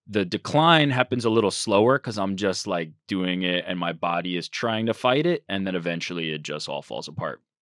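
On a very clean, dry, close recording with no echo and a silent background, a man with an unremarkable speaking voice talks with lively intonation and hardly any pauses. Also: fairly low pitch for a man, fairly quick pace. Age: 30s. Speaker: social media manager. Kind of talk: casual chat. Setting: studio.

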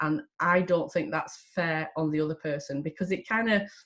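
Somewhat breathy, a woman with a Lancashire accent speaks at a moderate pace with ordinary pitch variation. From Lancashire, northern England. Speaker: psychotherapist and coach. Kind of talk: casual talk to camera. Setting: video recording. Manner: direct, plain-spoken; hesitant, with fillers and repeats.

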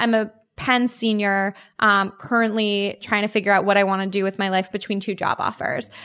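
At a moderate pace and fairly high pitch, a woman speaks in a plain, everyday voice, recorded very cleanly against a silent background. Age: 20s. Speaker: startup founder and CEO. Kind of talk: interview.

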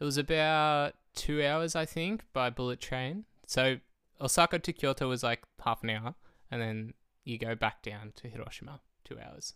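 A man with an Australian accent, medium pitch, ordinary pitch variation and a bright, sharp tone, at a moderate pace, on a very clean recording with a silent background. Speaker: guest, travel companion. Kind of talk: casual chat.

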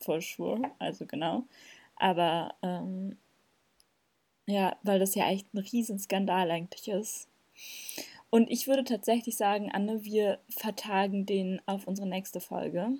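A woman's medium-pitched voice, dark and mellow, with fairly even intonation, a fairly slow pace and long, frequent pauses, on a very clean recording against a silent background. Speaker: podcast co-host. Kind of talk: casual chat.

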